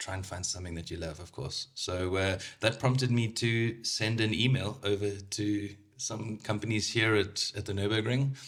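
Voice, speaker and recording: A man with a South African accent, fairly low-pitched and somewhat breathy, at a moderate pace with fairly even intonation, on a very clean recording with a silent background. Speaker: motorsport sales manager. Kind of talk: casual podcast interview. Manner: hesitant, many fillers.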